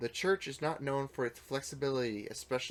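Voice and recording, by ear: Here the text is read out loud. It comes in a natural voice.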